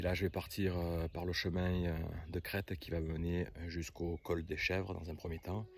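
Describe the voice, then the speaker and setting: Very deep and low, a man's voice moves at a moderate pace in a monotone, flat delivery. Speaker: hiking vlogger. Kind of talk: vlog narration while hiking. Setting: outdoors in mountains. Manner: hesitant with many fillers.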